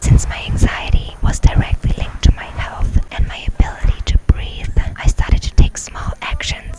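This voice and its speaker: Background noise is noticeable throughout. A woman whispers over it. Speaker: ASMR creator. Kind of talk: ASMR personal story, confiding talk to camera. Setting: outdoors, near a restaurant with background crowd noise. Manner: warm, calm, reassuring.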